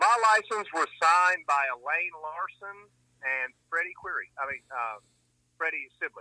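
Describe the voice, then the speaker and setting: A man speaks at a high pitch with a bright, sharp tone and lively intonation. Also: fairly slow pace, dry, close sound with no echo. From US South, Atlanta area. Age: 60s. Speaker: jet car driver. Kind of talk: interview.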